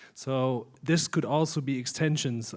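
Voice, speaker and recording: A man speaks with a German accent. His intonation stays fairly even. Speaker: conference audience member asking a question. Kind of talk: audience question at a conference Q&A. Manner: halting.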